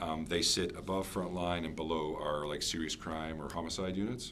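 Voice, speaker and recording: A man with a very deep, low voice speaks at a fairly quick pace with fairly even intonation, and audible room echo surrounds him. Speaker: police officer presenting to council. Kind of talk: presentation to town council. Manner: fast.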